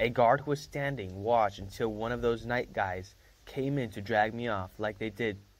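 The delivery is an unforced reading voice. Pitch moves with ordinary variation.

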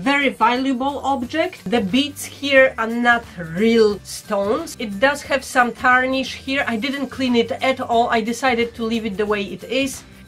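A woman speaks at a high pitch with ordinary variation. Faint music plays in the background. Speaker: vintage reseller. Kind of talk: casual haul vlog chat. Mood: playful, humorous. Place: home room.

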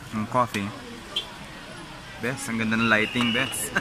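A man speaks with music in the background, the sound dry with no echo. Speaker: travel vlogger. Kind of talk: casual vlog chat. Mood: relaxed, amused. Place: cafe. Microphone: phone near.

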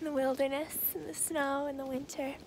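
A woman with a high pitch speaks at a moderate pace with fairly even intonation. The sound is dry with no echo, and there is noticeable background noise. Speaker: ASMR creator. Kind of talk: ASMR roleplay. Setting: outdoors. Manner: soft-spoken. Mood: cheerful, playful. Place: open country. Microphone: phone near.

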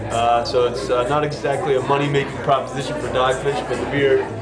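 A man is speaking. Music plays in the background. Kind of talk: interview answer. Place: bar.

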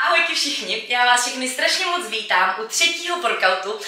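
The voice is raised and projected, at a moderate pace. Room echo is audible. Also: woman. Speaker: fitness trainer. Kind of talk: workout intro talk. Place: home room.

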